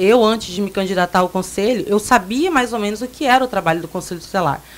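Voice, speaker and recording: The woman has an unremarkable speaking voice at a medium pitch. Her pitch varies in an ordinary way. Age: 20s. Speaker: council candidate. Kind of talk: radio interview.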